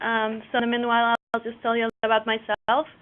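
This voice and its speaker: A woman's fairly high voice in a Mexican accent. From Mexico. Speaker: cooperative business developer. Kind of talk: webinar presentation. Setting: online webinar.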